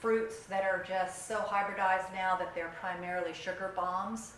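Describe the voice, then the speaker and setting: Amid noticeable background noise and audible room echo, a woman talks at a moderate pace in a medium pitch with monotone, flat intonation. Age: 60s. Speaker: keto community group leader. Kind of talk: workshop presentation. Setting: community meeting with audience.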